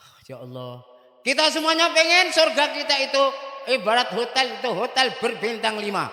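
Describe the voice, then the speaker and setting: Raising and projecting his voice, a man speaks at an extremely high pitch with lively intonation. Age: 70s. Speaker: Islamic cleric. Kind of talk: religious address to students and parents.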